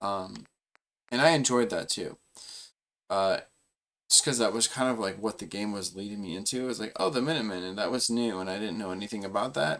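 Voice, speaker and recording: On a very clean recording with a silent background, a man with a fairly low pitch and ordinary pitch variation speaks with long, frequent pauses. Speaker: gaming streamer. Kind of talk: casual chat. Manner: halting; slow.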